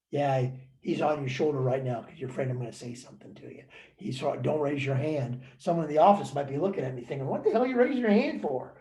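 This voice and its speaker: A man with a fairly high pitch and a dark, mellow, somewhat breathy tone talks at a very fast pace with ordinary pitch variation. His loudness swings widely, and room echo is audible. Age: 70s. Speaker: motivational speaker and author. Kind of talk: webinar talk. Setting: online webinar. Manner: animated.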